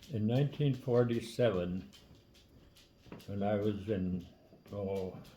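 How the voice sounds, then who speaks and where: A man speaks very slowly with long, frequent pauses, his fairly low voice dark, mellow and somewhat breathy. His pitch varies in an ordinary way. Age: 80s+. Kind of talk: casual storytelling. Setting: kitchen table.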